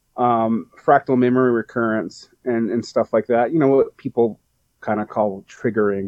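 Here is a man with an ordinary speaking voice at a medium pitch. His intonation is fairly even and his pace moderate. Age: 40s. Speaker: poet. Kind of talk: casual chat.

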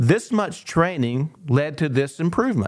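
With a plain, everyday voice, a man talks at a fairly slow pace. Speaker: sports psychologist. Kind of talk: casual chat. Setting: studio.

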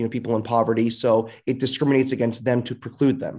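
A man with an American accent has a normal speaking voice, medium pitch and fairly even intonation on a very clean recording with a silent background. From Fresno, California. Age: 30s. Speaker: city council member. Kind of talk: podcast interview.

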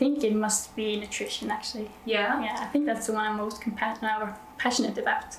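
With a Norwegian accent, a woman speaks at a moderate pace in a fairly high pitch with fairly even intonation, and noticeable background noise runs behind her. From Norway. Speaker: nurse. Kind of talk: interview. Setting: on site at a conference.

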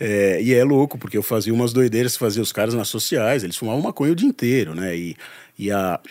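A man's medium-pitched, a normal speaking voice with ordinary pitch variation. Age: 40s. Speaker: journalist and entrepreneur. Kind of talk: casual interview.

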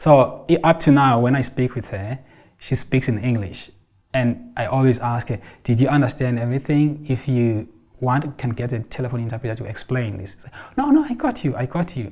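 On a very clean recording with a silent background, a somewhat breathy man speaks fairly quickly, with ordinary pitch variation and big swings in loudness. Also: medium pitch for a man. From South Africa, Xhosa. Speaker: counsellor for refugee children and families. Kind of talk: interview.

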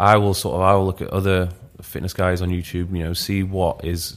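With a Yorkshire accent, a man with a very deep, low pitch talks fairly quickly in monotone, flat intonation, captured in a very clean recording over a silent background. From northern England, Leeds. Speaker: fitness YouTuber and coach. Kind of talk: podcast interview.

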